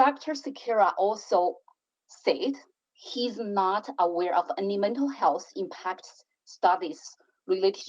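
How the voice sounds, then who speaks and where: Very wide pitch swings at a fairly slow pace, with a non-native accent. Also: woman. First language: not English. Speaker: city councillor. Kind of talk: council debate speech. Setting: council chamber.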